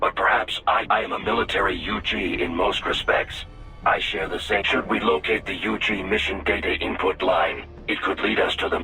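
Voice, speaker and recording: A man's put-on character voice at a moderate pace, over clear background noise. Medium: game stream. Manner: formal, precise.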